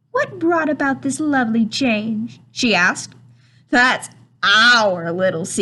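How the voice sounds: Lively intonation colors a natural reading voice.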